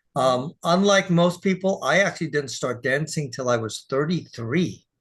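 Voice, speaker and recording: Against a quiet background, a man speaks at a moderate pace in a somewhat breathy, fairly high voice with lively intonation. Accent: American. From Texas. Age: 60s. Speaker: dance teacher and sales partner. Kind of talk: casual interview.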